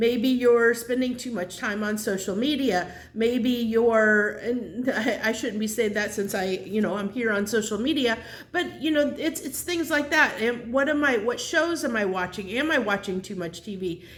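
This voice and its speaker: A woman speaks at a moderate pace with a fairly high pitch and lively intonation. The recording has noticeable background noise and audible room echo. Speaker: tarot reader. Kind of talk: tarot reading monologue. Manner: halting, many fillers and restarts.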